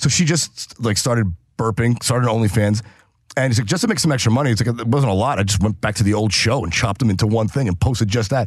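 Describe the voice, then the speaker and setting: At a very fast pace, a man speaks in a medium pitch that is somewhat breathy. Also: ordinary pitch variation. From New Hampshire. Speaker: comedian. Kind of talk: casual chat.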